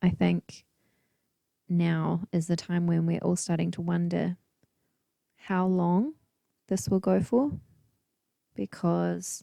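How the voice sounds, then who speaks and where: A soft-spoken woman at a very slow pace with long, frequent pauses, on a very clean recording with a silent background and dry, close sound with no echo. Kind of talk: casual talk to camera, relaxing paint and chat. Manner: soft-spoken, quiet, chilled.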